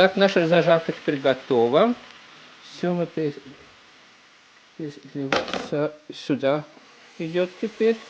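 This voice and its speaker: Pausing long and often, a man speaks at a very slow pace with a high pitch and ordinary pitch variation. Noticeable background noise runs beneath him. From Estonia. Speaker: home cook vlogger. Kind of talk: cooking tutorial. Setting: home kitchen. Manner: halting, with many false starts.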